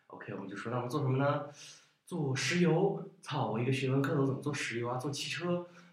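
Fairly quick speech from a man with a fairly high pitch, with audible room echo. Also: ordinary pitch variation. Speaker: startup founder. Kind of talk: casual chat. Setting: studio.

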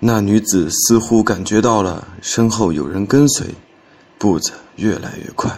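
In a plain, everyday voice, a man talks at a fairly slow pace with a fairly low pitch and ordinary pitch variation. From Henan, Xinxiang. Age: 20s. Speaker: storytelling contest entrant. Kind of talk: reading aloud.

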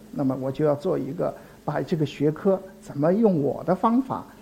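A man speaks at a moderate pace in a fairly high, somewhat breathy voice with a dark, mellow tone and ordinary pitch variation. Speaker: anthropology professor. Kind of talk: public lecture. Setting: stage with audience. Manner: halting, many filler sounds.

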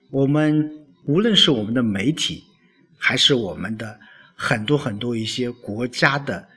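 Bright, sharp tone from a man at medium pitch, with ordinary pitch variation and a fairly slow pace. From China. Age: 40s. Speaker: village-level official and self-media podcaster. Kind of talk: solo podcast monologue. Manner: hesitant with frequent fillers.

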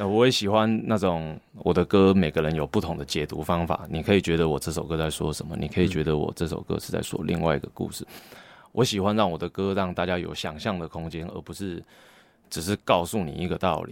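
A man's very deep, low voice with fairly even intonation, moving at a fairly quick pace. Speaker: rapper. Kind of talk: casual interview.

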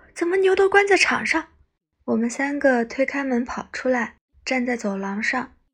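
Here a woman talks with a high pitch at a moderate pace. Her tone is calm, yet her pitch swings very widely. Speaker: bedtime story narrator. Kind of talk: reading aloud. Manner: calm and soft-spoken.

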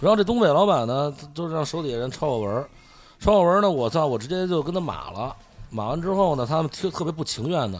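With a Beijing accent, a man talks very fast at a fairly high pitch, his intonation lively. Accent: Beijing Mandarin. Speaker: food blogger. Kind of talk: casual chat.

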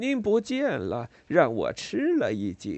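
Raspy and hoarse, this put-on character voice moves at a fairly slow pace. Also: man. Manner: gentle, pleasant.

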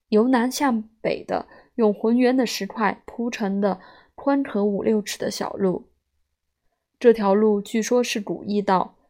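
In a very clean recording with a silent background, a woman speaks at a fairly slow pace in a fairly high pitch, her dark, mellow tone keeping fairly even intonation. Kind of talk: literary audiobook reading of a memoir essay. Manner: measured, fluent storyteller's pace with dry, wry humor and a nostalgic warmth.

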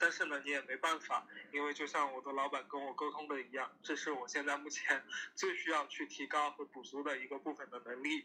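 A man speaks at a fairly quick pace with a bright, sharp tone. His fairly high pitch holds a monotone, flat intonation. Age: 30s. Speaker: guest on podcast. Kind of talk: casual chat.

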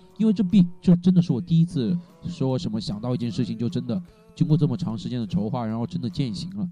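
A speaker talks at a fairly quick pace with very wide pitch swings. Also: man. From Hunan, China. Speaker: university student and cyclist. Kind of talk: casual interview chat. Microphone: poor recording quality due to equipment problems.

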